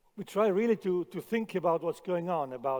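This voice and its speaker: A man's high-pitched voice, dark and mellow in tone, at a moderate pace. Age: 60s. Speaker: chef. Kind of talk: conference talk. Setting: stage with audience. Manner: halting, repeats words.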